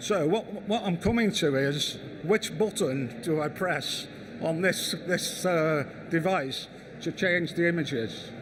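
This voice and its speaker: In a room with audible echo, a man speaks at a very slow pace with a high pitch and ordinary pitch variation. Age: 60s. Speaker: architect. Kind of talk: conference talk. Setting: stage with audience. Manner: halting, repeats words.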